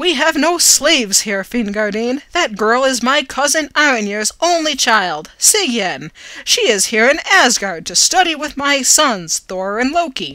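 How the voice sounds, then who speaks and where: A woman does a put-on character voice, pitched high and delivered at a moderate pace. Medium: read story. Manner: stern, dignified.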